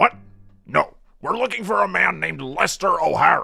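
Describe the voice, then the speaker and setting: With music playing behind him, a man does a raspy put-on character voice at a moderate pace. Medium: audio drama. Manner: formal, clipped, authoritative.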